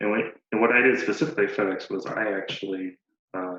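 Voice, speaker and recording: Mumbling at a fairly quick pace, a man keeps a fairly low pitch and fairly even intonation. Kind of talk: casual talk to camera. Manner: mumbled.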